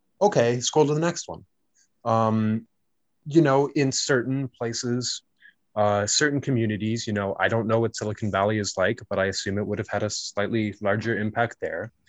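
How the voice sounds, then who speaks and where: With a Canadian accent, a man speaks in a normal speaking voice at a moderate pace, medium pitch and ordinary pitch variation. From Canada. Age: 20s. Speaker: university student. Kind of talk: casual chat. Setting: video call. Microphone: Zoom call audio, lower quality.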